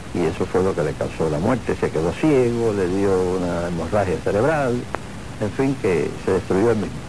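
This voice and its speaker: Amid audible room echo and noticeable background noise, a man with a fairly low pitch speaks with lively intonation. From Cuba (Havana). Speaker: retired bandleader and pianist. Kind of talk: interview.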